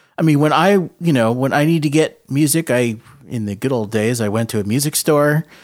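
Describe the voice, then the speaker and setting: A man with an American accent speaks in an ordinary speaking voice, fairly high in pitch with ordinary pitch variation. He goes at a fairly quick pace on a very clean recording with a silent background. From New England (Rhode Island, Boston area). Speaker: orchestral flutist, podcast co-host. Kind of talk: casual chat.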